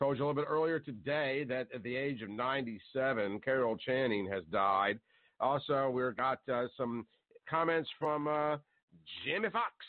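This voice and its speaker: An American-accented man, with an ordinary speaking voice, talks at a moderate pace in a medium pitch with ordinary pitch variation. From US South. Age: 50s. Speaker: talk radio host. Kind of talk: talk radio monologue. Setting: live call-in show.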